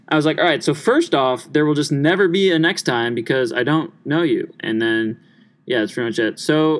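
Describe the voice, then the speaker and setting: This man has an American accent and a fairly high pitch. He speaks at a moderate pace with ordinary pitch variation. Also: very clean recording, silent background. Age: 20s. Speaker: college student podcast host. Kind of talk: casual chat. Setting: home recording in his room. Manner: animated.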